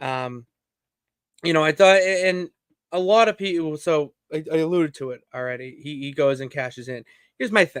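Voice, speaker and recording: A man speaks with ordinary pitch variation, big swings in loudness, and long, frequent pauses, recorded very cleanly with a silent background. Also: moderate pace. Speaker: wrestling podcast host. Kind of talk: casual solo commentary stream. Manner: animated.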